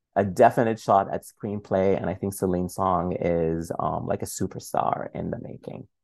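A man's fairly low voice at a moderate pace over a quiet background. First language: other than English. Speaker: film critic podcast co-host. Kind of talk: casual chat.

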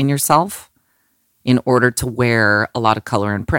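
Very slowly, a woman speaks with a very deep, low pitch in a very clean recording with a silent background and a dry, close sound with no echo. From US, Los Angeles. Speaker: fashion designer. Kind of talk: interview.

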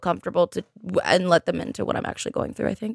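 A woman speaks at a very fast pace. The sound is dry and close, with no echo. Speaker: singer and content creator. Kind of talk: casual chat. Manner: bubbly, energetic.

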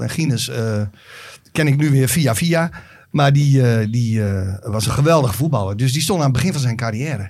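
A man at a medium pitch speaks at a fairly quick pace with ordinary pitch variation, and the room echo is audible. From Drenthe, Netherlands. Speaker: podcast sidekick. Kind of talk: casual chat.

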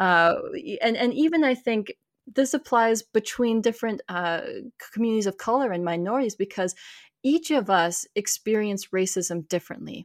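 At a moderate pace, a woman speaks at a fairly high pitch with lively intonation, in a very clean recording with a silent background and a dry, close sound with no echo. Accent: American. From US Midwest, Minnesota. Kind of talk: interview. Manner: halting, many repeated words.

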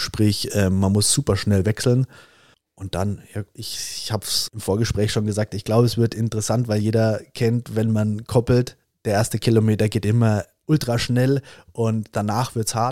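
Monotone, flat speech from a man with a dark, mellow tone and fairly low pitch at a moderate pace, dry and close with no echo on a very clean recording with a silent background. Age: 30s. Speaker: triathlon team captain. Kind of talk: podcast interview. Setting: studio.

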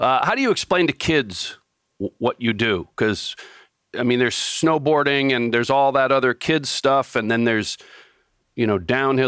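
In a very clean recording with a silent background and a dry, close sound with no echo, a man speaks at a moderate pace and medium pitch with ordinary pitch variation, in an ordinary speaking voice. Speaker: podcast host. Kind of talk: podcast hosting and interview.

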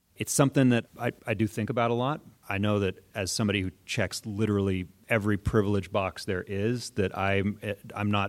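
This is a normal speaking voice. It moves at a fairly quick pace with fairly even intonation. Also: man. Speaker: comedy writer. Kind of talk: live panel discussion. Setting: stage with audience.

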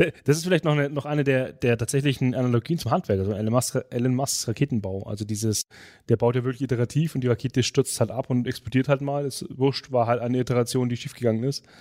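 Very fast and dark, mellow in tone, a man talks with ordinary pitch variation. The recording is dry and close, with no echo. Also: very clean recording, silent background. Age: 30s. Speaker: backend developer, podcast co-host. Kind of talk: casual chat.

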